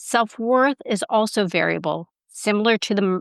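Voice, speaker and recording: A woman with a plain, everyday voice speaks at a medium pitch and a moderate pace with ordinary pitch variation. The background is quiet, and the sound is dry and close with no echo. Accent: Canadian. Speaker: self-respect expert, podcast guest. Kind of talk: casual interview chat.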